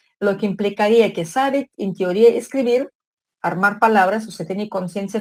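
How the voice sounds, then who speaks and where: A woman's unremarkable speaking voice, an unremarkable speaking voice at medium pitch with ordinary pitch variation. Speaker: psychology lecturer. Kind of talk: online lecture.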